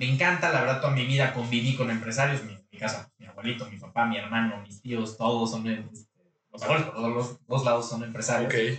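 A man's ordinary speaking voice at a medium pitch, moderate pace and fairly even intonation, with big swings in loudness and hardly any pauses. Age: 30s. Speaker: local politician. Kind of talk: interview. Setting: studio.

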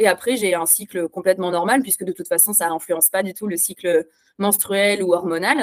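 Dry and close with no echo, the recording catches a woman with an unremarkable speaking voice talking at a fairly quick pace with a medium pitch and ordinary pitch variation. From France. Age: 30s. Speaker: instagram activist. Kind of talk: interview.

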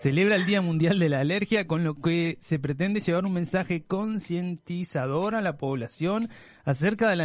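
Against a quiet background, a man speaks at a moderate pace in a high pitch with ordinary pitch variation. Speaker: podcast co-host. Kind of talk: casual chat.

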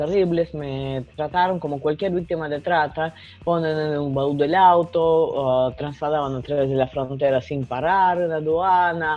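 Music plays in the background. A woman with a very deep, low pitch talks at a fairly slow pace. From Russia. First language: Russian (speaking Spanish). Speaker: journalist and writer. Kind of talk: interview. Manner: halting.

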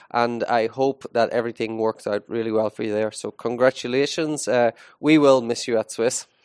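Here a man talks at a medium pitch with an Irish accent and fairly even intonation. The sound is dry and close with no echo, over a quiet background. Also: moderate pace. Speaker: school podcast host, teacher. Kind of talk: casual chat. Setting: school studio, live.

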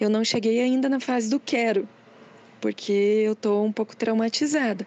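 A woman's dark, mellow voice with ordinary pitch variation, in a dry, close recording with no echo. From Curitiba, Brazil. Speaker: cartoonist. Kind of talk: testimony.

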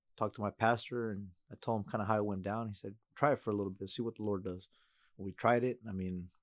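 A man with an American accent talks at a very fast pace. His pitch is fairly low and his intonation is monotone and flat. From US Pacific Northwest. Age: 30s. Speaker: church member sharing his testimony. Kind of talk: testimony.

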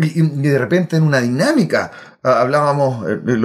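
This man speaks at a moderate pace with medium pitch and ordinary pitch variation. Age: 40s. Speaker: software solutions architect. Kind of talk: casual interview. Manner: halting.

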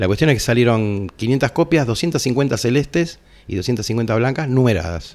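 A man with a Rioplatense accent speaks with ordinary pitch variation. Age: 60s. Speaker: heavy metal musician. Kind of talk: casual interview.

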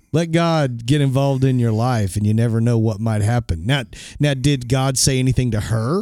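Speaking at a moderate pace, a man has a medium pitch, a dark, mellow tone, ordinary pitch variation, and very even loudness. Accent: Oklahoma. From Oklahoma. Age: 40s. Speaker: podcast host and minister. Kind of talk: interview.

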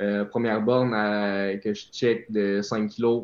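A man with a Quebec accent speaks at medium pitch, very slowly, in monotone, flat intonation. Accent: Québécois French. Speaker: elite runner. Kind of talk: interview.

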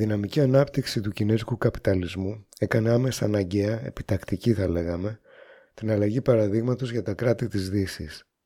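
A man speaks at a moderate pace with a fairly low pitch and ordinary pitch variation. His tone is dark and mellow, on a very clean recording with a silent background. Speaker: radio host. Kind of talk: scripted narration.

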